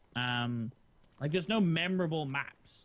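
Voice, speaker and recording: Intonation here is lively. The speaker has an English accent. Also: man. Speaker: gaming streamer. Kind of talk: casual chat.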